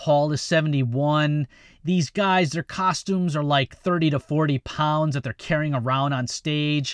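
A man talks at a moderate pace in a plain, everyday voice, pitched fairly high with fairly even intonation. The sound is dry and close with no echo, on a very clean recording with a silent background. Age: 50s. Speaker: podcast host. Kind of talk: casual chat. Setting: studio.

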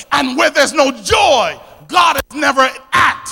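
Shouting in an energetic tone, a man with an American accent hits an extremely high pitch as music plays in the background. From Philadelphia. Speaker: preacher. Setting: church. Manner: energetic, call-and-response preaching.

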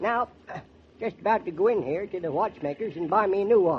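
With lively intonation and a moderate pace, a man does a put-on character voice. It is high-pitched with a husky, rough edge.

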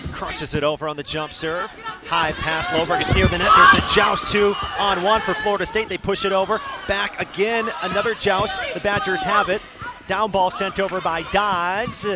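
A man speaks in a high, raised and projected voice at a moderate pace, his intonation fairly even, with noticeable background noise behind him. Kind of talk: live commentary.

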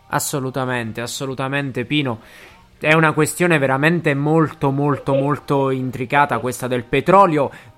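A man with a fairly high pitch talks while music sounds in the background. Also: moderate pace. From Basilicata, southern Italy. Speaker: podcast host. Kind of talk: casual chat. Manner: animated.

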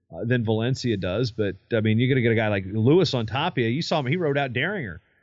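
At a very fast pace, a man with a medium pitch speaks with lively intonation. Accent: American. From US state bordering Tennessee. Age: 30s. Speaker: wrestling podcast host and historian. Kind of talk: casual sports chat.

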